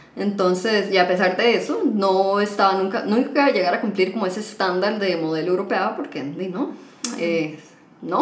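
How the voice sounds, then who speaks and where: A woman with a Costa Rican accent speaks at a moderate pace and a medium pitch, with ordinary pitch variation. Audible room echo and noticeable background noise are present. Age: 20s. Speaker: podcast guest, HR worker and psychology student. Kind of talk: casual chat.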